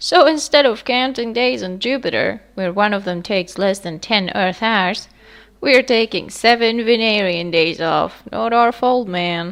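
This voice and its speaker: Using a put-on character voice, a woman speaks at medium pitch and a moderate pace. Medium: read story. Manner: relaxed, surfer-like, keeps saying man.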